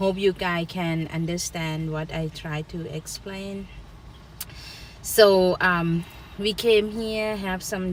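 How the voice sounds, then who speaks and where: Speaking with a strong Thai accent, a woman uses a medium pitch. Her pace is very slow. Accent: thick Thai. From Thailand, rural. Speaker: co-host, YouTuber's wife. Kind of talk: casual live stream chat. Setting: outdoors in a park.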